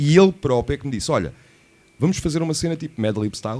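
At a very fast pace, a man speaks with very wide pitch swings. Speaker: radio host. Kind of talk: casual chat.

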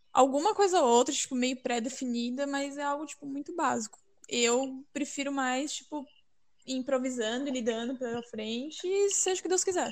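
With ordinary pitch variation, a woman talks in a high voice at a moderate pace. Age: 20s. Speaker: biomedicine graduate. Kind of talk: casual chat.

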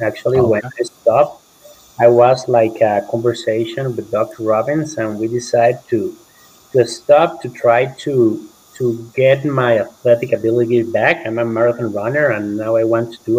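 A man at medium pitch and moderate pace, his intonation fairly even, against noticeable background noise. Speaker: limb lengthening patient. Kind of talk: casual panel discussion. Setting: video call.

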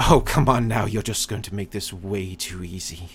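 Using a put-on character voice, a man cackles at a fairly low pitch. His pace is moderate. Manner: cackling, taunting.

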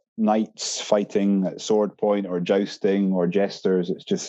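Dark and mellow in tone, a man's fairly low voice comes with an Edinburgh accent. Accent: Scottish (Edinburgh). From Scotland, Edinburgh. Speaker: brewery employee. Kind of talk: casual chat.

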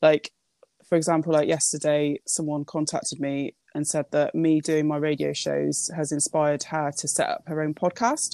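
A woman at a moderate pace, very cleanly recorded against a silent background, with a dry, close sound and no echo. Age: 30s. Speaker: poet and radio presenter. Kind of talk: interview. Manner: hesitant, many fillers.

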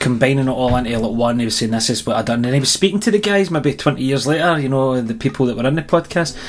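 The voice comes in a Scottish accent at a very fast pace. Background noise is noticeable throughout. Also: man. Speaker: wedding band musician, podcast co-host. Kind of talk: casual chat.

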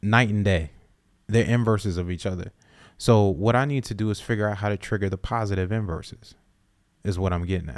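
A man with an American accent and an ordinary speaking voice talks at a fairly quick pace and fairly low pitch, with ordinary pitch variation, in a very clean recording with a silent background. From US South, South Carolina. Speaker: podcast co-host. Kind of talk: casual chat.

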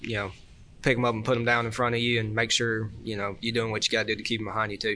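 Medium-pitched man in a Southern US accent, with monotone, flat intonation. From Georgia, US South. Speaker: kart racer and pipe welder. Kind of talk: casual chat. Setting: live show at a race event with audience.

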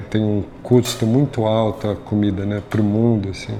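Noticeable background noise sits behind a man speaking at a moderate pace. His intonation is monotone and flat. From São Paulo, Brazil (north zone, northeastern family). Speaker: chef. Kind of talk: interview. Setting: restaurant.

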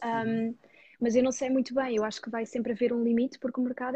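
A woman talks at a very fast pace in a high pitch with a dark, mellow tone. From Portugal, Dutch parents. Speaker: personal finance YouTuber. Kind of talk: interview.

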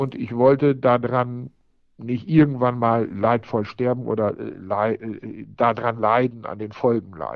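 It is an unremarkable speaking voice, a man's at a medium pitch, fairly slow and fairly even in intonation. His loudness swings widely. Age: 40s. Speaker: IT entrepreneur and marathon runner. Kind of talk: interview. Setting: remote line.

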